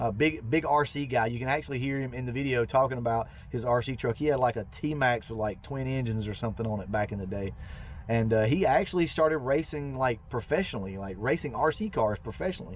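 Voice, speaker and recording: A man with a Southern US accent speaks at a very fast pace. His pitch is medium, with ordinary variation. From Georgia, US South. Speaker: car enthusiast YouTuber. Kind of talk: casual narration over old footage. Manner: rambling, conversational.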